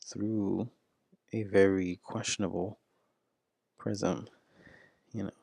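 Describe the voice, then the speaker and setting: Someone whispers at a very slow pace, the sound dry and close with no echo. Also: man. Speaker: video blogger. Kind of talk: solo commentary. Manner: whispering; halting.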